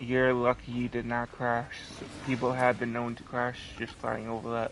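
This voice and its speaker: A man talks at a medium pitch in a monotone, flat intonation. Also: moderate pace. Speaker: gaming streamer. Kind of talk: live gameplay stream chat. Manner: stutters; halting.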